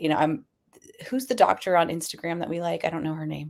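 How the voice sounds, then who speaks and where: Her very deep, low pitch carries lively intonation as this woman speaks. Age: 40s. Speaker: podcast co-host. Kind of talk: casual chat.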